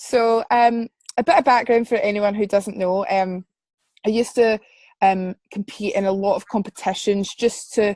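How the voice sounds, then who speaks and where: A woman speaks at a moderate pace and medium pitch in a west central Scottish accent with ordinary pitch variation. The background is quiet, and the sound is dry and close with no echo. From Scotland, Paisley. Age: 20s. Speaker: singer-songwriter and music student. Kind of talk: interview. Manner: halting, many fillers.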